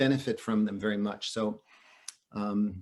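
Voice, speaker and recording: Fairly even intonation carries the speech. The speaker is a man. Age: 60s. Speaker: author and psychedelic researcher. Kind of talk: interview. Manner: halting, many fillers.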